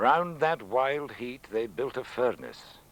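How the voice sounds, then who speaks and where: Very wide pitch swings at a very slow pace. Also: man. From Scotland. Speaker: poet, former radio news reader. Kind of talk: poetry reading.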